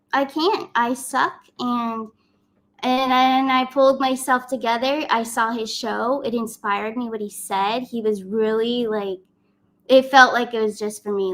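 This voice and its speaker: This woman's voice sits fairly high for a woman, with ordinary pitch variation. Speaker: spiritual YouTuber and tarot reader. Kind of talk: casual live stream talk. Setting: live stream.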